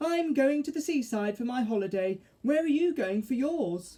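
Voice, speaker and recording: In a put-on character voice, a female-sounding speaker goes high in pitch. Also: moderate pace. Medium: read story. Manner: giggly, dreamy.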